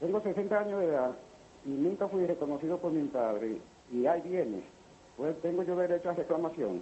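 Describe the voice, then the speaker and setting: At a fairly quick pace, a man speaks in a high pitch with lively intonation and very even loudness. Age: 60s. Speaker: caller. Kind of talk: phone-in question. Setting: phone call.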